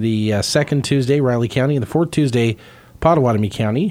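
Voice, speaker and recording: An ordinary speaking voice at a fairly quick pace, with ordinary pitch variation. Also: man. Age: 40s. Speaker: radio host. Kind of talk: radio interview. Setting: radio studio.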